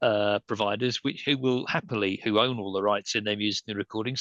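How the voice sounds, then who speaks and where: In an English accent, a man talks at a very fast pace with a bright, sharp tone and ordinary pitch variation, the sound dry and close with no echo. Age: 60s. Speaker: entertainment lawyer. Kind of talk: panel discussion. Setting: video call. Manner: halting.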